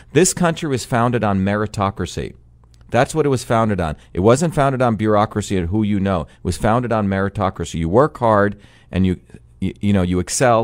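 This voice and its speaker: This man has a plain, everyday voice with a fairly low pitch. He talks at a fairly quick pace with lively intonation. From New Jersey (born in India). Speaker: political candidate and engineer. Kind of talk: radio interview. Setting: radio studio.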